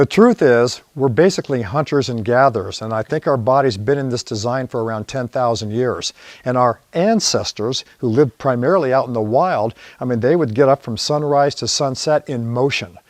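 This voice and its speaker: A plain, everyday voice moves at a moderate pace with hardly any pauses and ordinary pitch variation, in a dry, close sound with no echo. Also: man, medium pitch for a man. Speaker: posture system founder. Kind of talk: infomercial interview answer.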